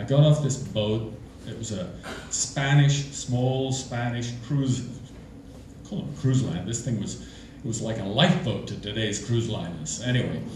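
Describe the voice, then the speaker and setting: There is audible room echo and noticeable background noise behind a man's medium-pitched voice. He sounds animated, with ordinary pitch variation. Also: fairly slow pace. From England. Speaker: storyteller. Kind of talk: live storytelling. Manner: animated, conversational.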